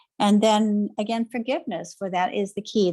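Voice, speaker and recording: A woman is talking. Her pitch moves in an ordinary way. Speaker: reverend and spiritual author. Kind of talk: interview. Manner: fast.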